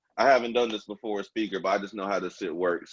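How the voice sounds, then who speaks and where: Music plays in the background as a man with an American accent talks. His pitch is medium and his pace moderate. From Junction City, Kansas. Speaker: radio host. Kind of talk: show intro; casual interview. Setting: phone call.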